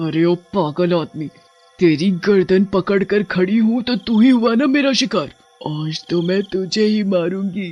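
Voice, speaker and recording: Faint music plays in the background as a man performs a put-on character voice at a high pitch. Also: moderate pace. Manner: menacing.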